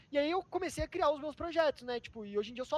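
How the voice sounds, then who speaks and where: A man talks at a very fast pace with ordinary pitch variation, in a dry, close sound with no echo. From Sorocaba, interior of São Paulo, Brazil. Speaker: reality show contestant and online content editor. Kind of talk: casual interview. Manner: casual slangy, hesitant with fillers.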